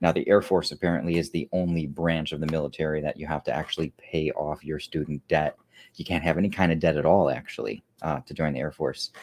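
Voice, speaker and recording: The speech moves at a fairly quick pace with fairly even intonation. It has a dry, close sound with no echo in a very clean recording with a silent background. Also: man. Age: 30s. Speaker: YouTuber sharing near-death story. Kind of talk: personal testimony, livestream. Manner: casual, with many fillers.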